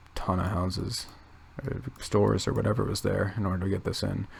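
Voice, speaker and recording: Soft-spoken and fairly low in pitch, a man talks at a moderate pace. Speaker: youtuber. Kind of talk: casual commentary while browsing maps. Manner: hesitant, many fillers.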